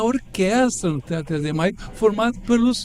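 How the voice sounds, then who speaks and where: Lively intonation over noticeable background noise. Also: man. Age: 70s. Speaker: professor and architect. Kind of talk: radio interview.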